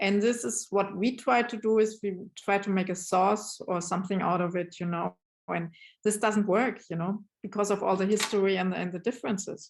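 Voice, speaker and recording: Speaking at a moderate pace with a German accent, the voice keeps a fairly even intonation against a quiet background. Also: woman, medium pitch for a woman. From Germany. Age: 50s. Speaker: brand ambassador and novelist. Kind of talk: interview. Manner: halting.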